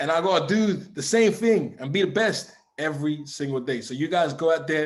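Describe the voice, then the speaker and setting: An animated, fairly quick man with a London accent, his pitch fairly high. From England, East London. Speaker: forex trading mentor. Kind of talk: motivational talk.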